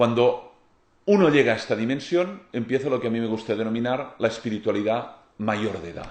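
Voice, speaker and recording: A man with a Catalan accent speaks at a medium pitch and a moderate pace, with ordinary pitch variation. Audible room echo surrounds his voice. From Catalonia, Spain. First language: Catalan (speaking Spanish). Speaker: lecturer on philosophy and spirituality. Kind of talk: lecture.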